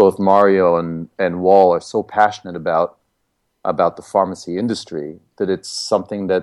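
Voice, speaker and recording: A man's normal speaking voice, fairly low in pitch, at a moderate pace, in dry, close sound with no echo against a quiet background. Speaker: connected health entrepreneur. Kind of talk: podcast interview.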